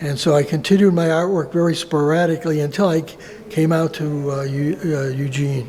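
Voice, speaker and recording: There is noticeable background noise as a man talks at a moderate pace, his fairly high voice showing ordinary pitch variation. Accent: American. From US Northeast (Buffalo, New York). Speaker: visual artist. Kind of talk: interview. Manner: halting, many fillers.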